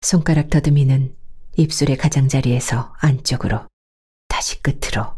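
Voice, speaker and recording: A woman's very deep, low voice, somewhat breathy with a dark, mellow, calm tone, moves at a fairly slow pace with fairly even intonation. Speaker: audiobook narrator. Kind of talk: novel audiobook reading. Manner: calm, slow.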